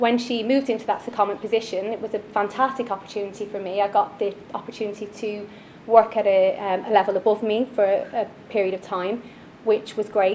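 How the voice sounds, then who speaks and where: Against noticeable background noise, a woman with an Irish accent and a fairly high pitch speaks at a fairly quick pace in a flat, monotone way. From Ireland, Dublin. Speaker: finance manager. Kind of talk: personal story talk. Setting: stage at networking event.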